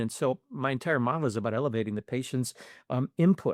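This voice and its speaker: A man talks at a moderate pace with ordinary pitch variation, recorded very cleanly against a silent background with a dry, close sound and no echo. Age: 60s. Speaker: physical therapist. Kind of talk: interview conversation. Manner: hesitant, many fillers.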